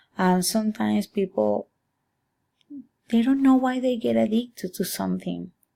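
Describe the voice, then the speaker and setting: A woman speaks with a Spanish accent at a moderate pace. Her pauses are long and frequent. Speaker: student. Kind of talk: class presentation. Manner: halting.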